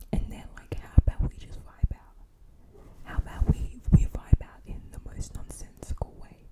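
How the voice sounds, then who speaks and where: Whispering at a fairly slow pace, a woman lets her loudness swing widely. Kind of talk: casual talk to camera. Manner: soft-spoken, whispered.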